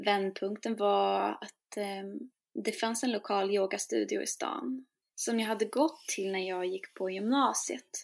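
The speech comes at a very slow pace with ordinary pitch variation in a very clean recording with a silent background. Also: woman, medium pitch for a woman. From Sweden. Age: 20s. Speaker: singer-songwriter and shamanic priestess. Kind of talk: interview conversation.

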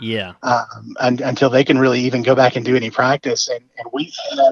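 This man speaks with a Southern US accent. His pitch sits at a medium level. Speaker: high school football announcer. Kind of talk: casual interview chat. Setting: phone call.

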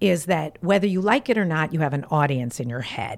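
In a very clean recording with a silent background, a woman speaks in an animated tone. Her pitch is fairly low, and it swings very widely. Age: 40s. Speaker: life coach. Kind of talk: casual chat.

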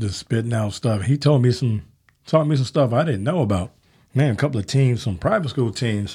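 A man speaks at a medium pitch with a dark, mellow tone. His voice is somewhat breathy, with ordinary pitch variation. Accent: American. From Chicago, South Side. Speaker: basketball podcast host. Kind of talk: casual chat; scripted promo.

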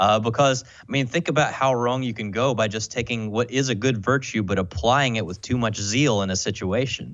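A man with an American accent and a plain, everyday voice talks at a fairly quick pace with hardly any pauses and ordinary pitch variation. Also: medium pitch for a man. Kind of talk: casual conversation.

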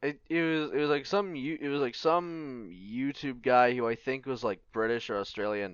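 A man with a normal speaking voice, medium pitch, lively intonation, moderate pace and hardly any pauses. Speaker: podcast co-host. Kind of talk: casual banter.

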